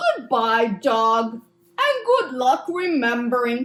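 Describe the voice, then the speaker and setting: A cartoonish character voice, female-sounding and high-pitched. It moves at a very slow pace. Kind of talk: children's puppet show.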